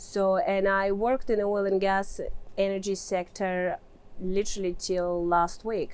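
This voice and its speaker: A woman speaks with a Russian accent at a medium pitch and a fairly slow pace. Her loudness stays very even and her intonation is monotone and flat. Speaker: mining engineer and real estate investor. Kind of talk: interview answer.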